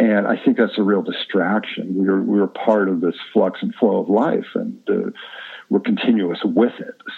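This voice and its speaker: Noticeable background noise runs through the clip. A man speaks at a fairly slow pace. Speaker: guest, movement and wellness expert. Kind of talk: casual interview conversation.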